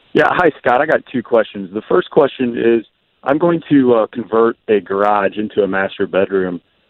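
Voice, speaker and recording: Speaking at a moderate pace, a man with an unremarkable speaking voice uses lively intonation at medium pitch. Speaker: caller. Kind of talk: call-in question. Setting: phone call.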